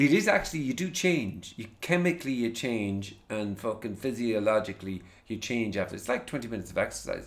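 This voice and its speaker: A man with an Irish accent talks at a fairly quick pace, with hardly any pauses. His pitch is medium and his intonation lively. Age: 40s. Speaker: podcast host. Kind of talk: casual chat. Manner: casual, swears often.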